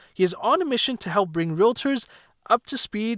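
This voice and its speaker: Lively intonation from a man at a moderate pace, dry and close with no echo. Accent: Canadian. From Vancouver, Canada. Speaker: podcast host and realtor. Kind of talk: casual interview chat.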